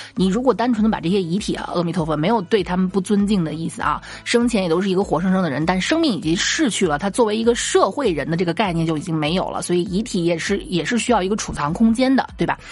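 A woman talks at a very fast pace with lively intonation and hardly any pauses. Noticeable background noise runs underneath. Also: medium pitch for a woman. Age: middle-aged. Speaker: comedy podcast host. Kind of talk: casual storytelling monologue.

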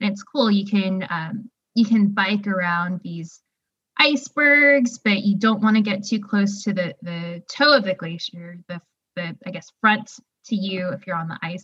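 Speaking at a fairly slow pace, a woman with an American accent has a bright, sharp tone and ordinary pitch variation. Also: medium pitch for a woman, big swings in loudness. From Texas, Houston suburb. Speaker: newspaper editor and hiker. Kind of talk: casual interview.

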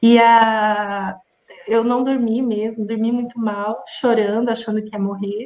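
Pitched fairly high, a woman talks in an ordinary speaking voice. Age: 40s. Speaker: entrepreneur, food allergy company owner. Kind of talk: interview. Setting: live stream.

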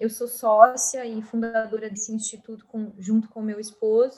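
Her pitch fairly high for a woman, the speaker talks at a fairly slow pace. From Rio Grande do Sul coast, Brazil. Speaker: systemic constellation therapist and university lecturer. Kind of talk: podcast interview.

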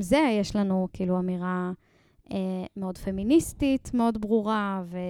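A woman's unremarkable speaking voice at medium pitch, with ordinary pitch variation and a fairly slow pace, in dry, close sound with no echo on a very clean recording with a silent background. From Israel, Ein Sarid near Netanya. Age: 20s. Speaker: singer and lyricist. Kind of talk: casual interview.

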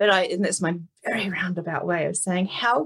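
A woman talks with a New Zealand accent. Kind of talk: casual interview chat.

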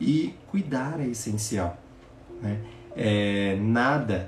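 There is noticeable background noise and audible room echo. A man talks with lively intonation at a medium pitch. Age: 20s. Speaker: podcast host, personal development coach. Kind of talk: live motivational talk. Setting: live stream. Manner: warm, reflective.

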